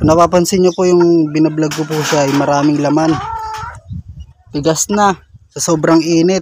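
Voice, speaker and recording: A man speaks in a fairly high pitch with a monotone, flat intonation and long, frequent pauses. Noticeable background noise is present. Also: moderate pace. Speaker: vlogger and songwriter. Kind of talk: casual vlog. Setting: outdoors at a chicken farm, then indoors at home studio. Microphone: cheap mixer, voice sounds distorted.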